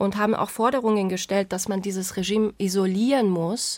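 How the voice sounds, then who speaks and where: A woman uses a normal speaking voice at a medium pitch, with a moderate pace and fairly even intonation. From Iran. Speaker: journalist. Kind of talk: casual chat.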